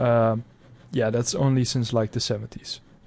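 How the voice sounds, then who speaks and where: A man with a Dutch accent, medium pitch and a fairly slow delivery. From Netherlands. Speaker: history reaction youtuber. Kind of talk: reaction commentary. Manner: hesitant, with fillers.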